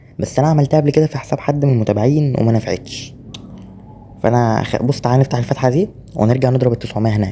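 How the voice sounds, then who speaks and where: With an Egyptian accent, a man talks at a very fast pace in a medium pitch, with noticeable background noise behind him. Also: ordinary pitch variation. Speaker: gaming YouTuber. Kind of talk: gameplay commentary. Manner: holding voice down.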